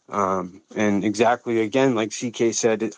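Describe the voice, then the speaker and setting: Recorded dry and close with no echo, a man speaks in an American accent at medium pitch. His pace is fairly slow and his intonation fairly even. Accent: Boston accent, somewhat curbed. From US Northeast, Boston. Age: 40s. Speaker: crypto community member on a live audio space. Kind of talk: casual discussion on a live audio space. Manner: halting, many fillers and restarts.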